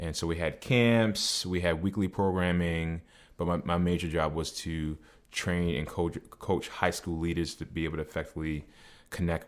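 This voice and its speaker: Someone with a slight Boston accent speaks at a moderate pace with fairly even intonation. The recording is very clean, with a silent background. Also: man. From New England. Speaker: personal trainer. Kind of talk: podcast interview.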